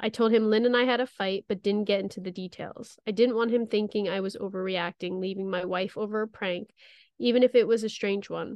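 A woman with a plain, everyday voice talks at a fairly quick pace, medium in pitch, with fairly even intonation. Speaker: podcast co-host. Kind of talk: ghost story telling; reading aloud a scary story.

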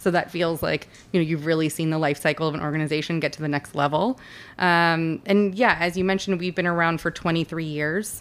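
A woman with a plain, everyday voice and an American accent speaks at a fairly low pitch and a fairly quick pace on a very clean recording with a silent background. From Los Angeles. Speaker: arts nonprofit executive director. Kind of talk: casual interview. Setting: studio.

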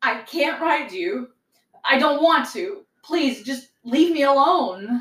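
Doing a put-on character voice, a woman speaks slowly at a high pitch. Her tone is fairly bright, with lively intonation.

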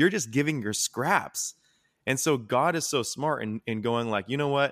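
A man with a plain, everyday voice speaks at a medium pitch, with lively intonation and a moderate pace. The sound is dry and close with no echo, in a very clean recording with a silent background. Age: 20s. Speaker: former youth pastor, mental health nonprofit founder. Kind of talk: casual chat.

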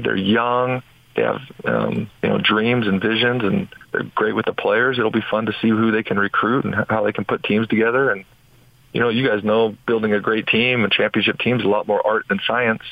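Fairly even intonation runs through a man's normal speaking voice. He talks at a medium pitch and a fairly quick pace. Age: 40s. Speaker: former basketball player and business owner. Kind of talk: radio interview.

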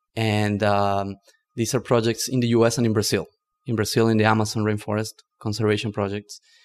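On a very clean recording with a silent background, a man talks at a fairly quick pace with fairly low pitch and monotone, flat intonation. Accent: Spanish. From northern Argentina. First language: Spanish. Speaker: climate tech entrepreneur. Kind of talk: podcast interview.

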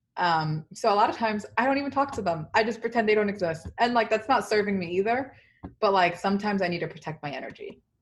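Against a quiet background, a woman with a New York accent talks at a very fast pace, somewhat breathy and with lively intonation. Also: medium pitch for a woman. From New York, South Bronx (Dominican-born). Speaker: tech company employee. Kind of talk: casual interview.

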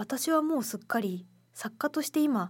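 A somewhat breathy woman's voice with lively intonation at a moderate pace, on a very clean recording with a silent background. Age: 20s. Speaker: radio co-host and essay writer. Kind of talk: casual chat.

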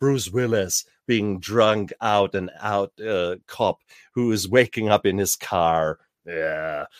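At a very slow pace, a man with a fairly low pitch and ordinary pitch variation speaks in a dry, close sound with no echo. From Germany. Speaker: author and podcast host in addiction recovery. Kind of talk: interview. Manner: animated.

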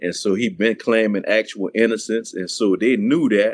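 A strong Louisiana accent comes through at a moderate pace. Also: man. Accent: thick Louisiana. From New Orleans, Louisiana. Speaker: author and former prisoner. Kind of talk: interview testimony.

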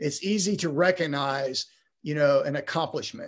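A man is speaking. His pace is moderate. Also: quiet background. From Texas. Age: 60s. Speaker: retired high school principal. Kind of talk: interview.

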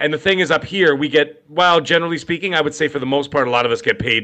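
Talking at a very fast pace, a man uses a fairly high-pitched voice with a bright, sharp tone. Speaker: gaming podcast co-host. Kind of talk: casual chat. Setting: live stream video call.

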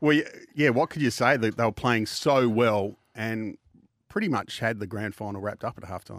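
A man speaks at a moderate pace and medium pitch, with ordinary pitch variation and big swings in loudness. The recording is very clean and silent in the background, with a dry, close sound and no echo. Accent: Australian. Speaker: radio host. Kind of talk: radio sponsor patter. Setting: studio. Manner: bright, upbeat announcer delivery.

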